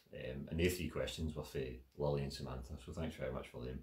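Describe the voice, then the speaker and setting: Vocal fry runs through the speech of a man with a Glaswegian accent talking at a fairly quick pace. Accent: Glaswegian Scots. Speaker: writer and spoken word performer. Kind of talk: casual talk answering audience questions. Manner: casual, filler-heavy.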